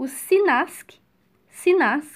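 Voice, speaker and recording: This woman speaks with ordinary pitch variation. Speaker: medical exam prep podcaster. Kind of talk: recorded audio lecture.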